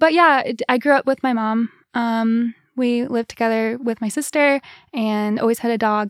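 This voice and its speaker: With an American accent and an unremarkable speaking voice, a woman talks at a moderate pace in a fairly high pitch with fairly even intonation, the sound dry and close with no echo. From US Midwest. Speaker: musician. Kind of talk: casual chat. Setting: studio.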